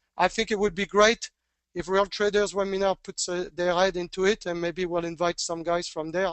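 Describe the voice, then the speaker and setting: With a French accent, a man speaks at a fairly quick pace and a high pitch. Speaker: trading educator. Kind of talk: webinar Q&A. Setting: online webinar. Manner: halting.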